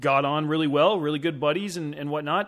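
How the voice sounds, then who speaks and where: A man's normal speaking voice, fairly high-pitched for a man, at a fairly quick pace, in a very clean recording with a silent background. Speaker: film composer and podcast producer. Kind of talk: casual interview chat. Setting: call.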